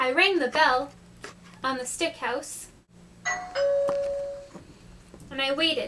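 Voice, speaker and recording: This cartoonish character voice moves at a very slow pace. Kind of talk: read story. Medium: puppet.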